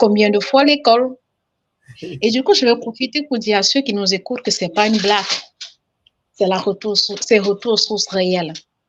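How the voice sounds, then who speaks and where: A woman at a fairly high pitch and moderate pace, with ordinary pitch variation and big swings in loudness. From Cameroon. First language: Cameroonian language, now lost (speaking French). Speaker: caller. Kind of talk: testimony.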